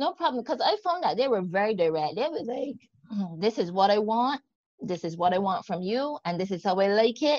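With a Barbadian accent, a woman speaks at a fairly quick pace. Her fairly high pitch moves in very wide swings. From Barbados. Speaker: podcast host and life coach. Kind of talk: interview conversation.

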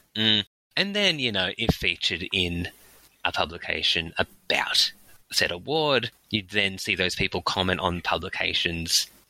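A man's bright, sharp tone comes through with very even loudness in a dry, close sound with no echo, on a very clean recording with a silent background. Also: fairly low pitch for a man, ordinary pitch variation, moderate pace. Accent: Australian. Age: 30s. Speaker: in-house lawyer and public speaking coach. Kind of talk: interview.

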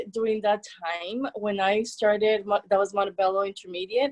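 The speaker, in a Spanish accent, keeps a moderate pace. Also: woman. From El Salvador. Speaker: therapist. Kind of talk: interview.

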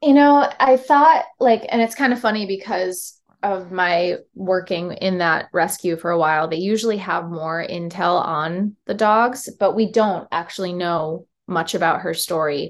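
In an American accent, a plain, everyday voice moves at a fairly slow pace with lively intonation and hardly any pauses. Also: woman, medium pitch for a woman. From upstate New York, Syracuse. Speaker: touring musician. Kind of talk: casual interview chat. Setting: video call.

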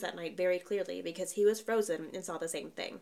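Fairly even intonation from a woman talking at a very fast pace. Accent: Southern US. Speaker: podcast host. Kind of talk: ghost story telling, reading Reddit stories aloud in a hushed, suspenseful tone.

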